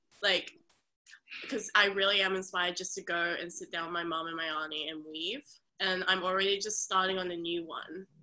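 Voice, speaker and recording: Speaking fairly quickly in an Australian accent, a woman keeps a medium pitch and fairly even intonation. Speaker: workshop participant. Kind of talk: casual chat.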